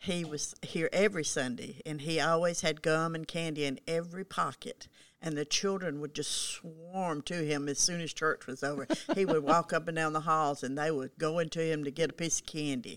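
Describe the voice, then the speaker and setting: Fairly even in intonation, a woman's very deep, low voice moves at a moderate pace. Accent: Southern US. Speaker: longtime church member. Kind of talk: casual chat.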